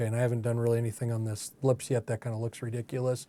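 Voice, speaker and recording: The speaker mumbles in a relaxed tone on a very clean recording with a silent background. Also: man. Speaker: art teacher and ministry coach. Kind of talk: tutorial. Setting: art studio. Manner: mumbling, thinking aloud; casual, relaxed.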